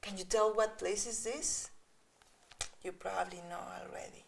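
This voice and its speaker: A woman speaks with a Spanish accent. Her voice is fairly high and her tone is animated. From Mexico. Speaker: children's author and illustrator. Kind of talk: reading aloud to children. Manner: animated, engaging.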